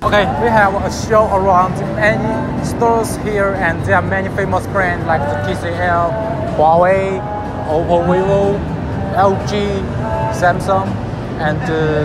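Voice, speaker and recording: Clear music plays in the background. The speech moves at a fairly slow pace with long, frequent pauses. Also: man. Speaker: vlogger. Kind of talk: casual vlog chat. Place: hall.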